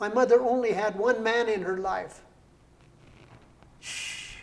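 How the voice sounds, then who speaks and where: Speaking at a fairly slow pace with long, frequent pauses and big swings in loudness, a man with an American accent is heard in audible room echo. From Colorado, Brighton area. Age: 80s+. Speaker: poet and entrepreneur. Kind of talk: interview.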